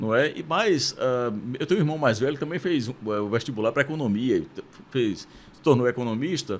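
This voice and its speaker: A man in a Pernambuco accent, medium-pitched and fairly quick, with lively intonation and big swings in loudness. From Brazil, Pernambuco (Recife). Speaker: university rector. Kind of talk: interview conversation. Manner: hesitant, with fillers.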